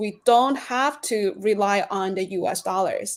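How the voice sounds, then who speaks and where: A woman speaks with a Chinese accent at a very slow pace. Her pitch is fairly high. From China. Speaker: reporter. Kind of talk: interview answers.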